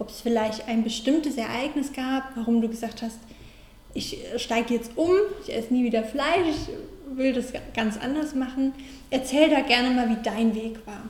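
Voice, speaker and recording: A woman talks at a moderate pace in a high pitch with ordinary pitch variation. Her loudness swings widely, and the room echo is audible. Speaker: podcast host and mental coach. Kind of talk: interview.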